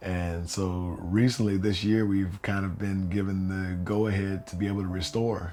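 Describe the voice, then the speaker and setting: In a room with audible echo, a man with a very deep, low voice and a dark, mellow tone talks in a flat monotone with hardly any pauses. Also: moderate pace. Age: 40s. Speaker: oral history interviewee. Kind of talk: oral history interview. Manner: halting, many fillers.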